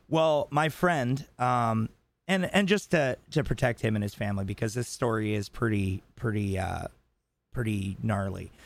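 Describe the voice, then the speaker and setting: A man's unremarkable speaking voice, medium in pitch with lively intonation, at a moderate pace on a very clean recording with a silent background. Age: 30s. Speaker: podcast co-host. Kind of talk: casual chat.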